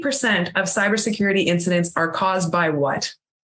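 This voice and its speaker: A woman talks at a very fast pace. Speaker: cybersecurity presenter. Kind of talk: presentation.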